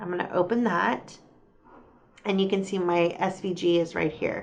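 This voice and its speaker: Her pace is moderate and her pitch medium. This woman has an unremarkable speaking voice. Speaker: crafting YouTuber. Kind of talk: tutorial.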